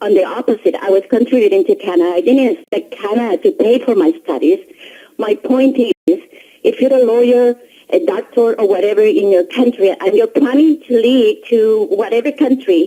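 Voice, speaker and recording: A woman speaks at a high pitch with very wide pitch swings. Her pace is moderate and her loudness very even. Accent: Spanish. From Colombia. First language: Spanish. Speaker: caller. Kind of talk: radio call-in.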